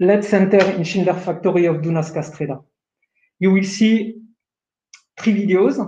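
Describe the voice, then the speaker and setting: With a French accent, a man speaks in a dark, mellow tone at a high pitch for a man, keeping a moderate pace and fairly even intonation broken by long, frequent pauses. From France. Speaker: production manager. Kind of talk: webinar presentation. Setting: online webinar.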